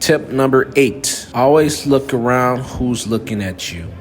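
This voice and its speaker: Over music in the background, a man with an American accent talks in an animated tone at a medium pitch and a fairly slow pace, with ordinary pitch variation and hardly any pauses. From United States. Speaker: travel vlogger. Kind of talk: walking vlog tips monologue. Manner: animated, emphatic.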